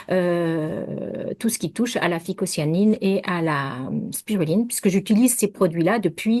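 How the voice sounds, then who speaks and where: Against a quiet background, a woman talks fairly slowly at a medium pitch with ordinary pitch variation. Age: 60s. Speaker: naturopath. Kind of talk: interview. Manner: halting.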